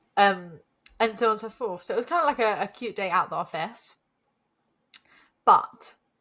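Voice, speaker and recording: Squeaky and animated, a woman speaks in a fairly high pitch with a bright, sharp tone. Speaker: podcast co-host. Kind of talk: casual chat.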